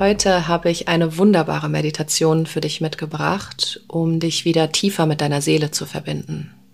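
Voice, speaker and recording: A woman's very deep, low voice, flat and monotone, with hardly any pauses and noticeable background noise. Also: moderate pace. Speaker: podcast host and spiritual coach. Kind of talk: guided meditation. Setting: meditation with background music.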